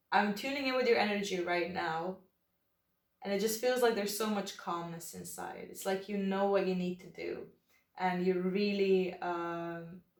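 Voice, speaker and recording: A woman with a non-native accent speaks at a moderate pace and medium pitch, with fairly even intonation, big swings in loudness and audible room echo. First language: not English. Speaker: tarot reader. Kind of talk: tarot reading. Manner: relaxed, hesitant with fillers.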